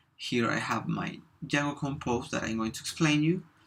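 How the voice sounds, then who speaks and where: A man with a Spanish accent and a fairly high pitch. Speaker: software developer. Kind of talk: tutorial. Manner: halting, with fillers.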